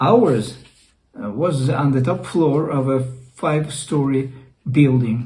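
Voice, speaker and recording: Very slow, somewhat breathy speech from a man with a Russian accent and a medium pitch, plus audible room echo. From Russia (Leningrad). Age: 60s. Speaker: YouTuber. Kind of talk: personal storytelling. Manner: halting.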